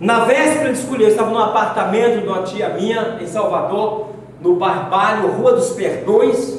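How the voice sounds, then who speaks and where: With noticeable background noise and audible room echo, a man talks at a moderate pace in a high pitch. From southern Bahia, Brazil. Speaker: apostle preacher. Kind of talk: sermon. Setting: church.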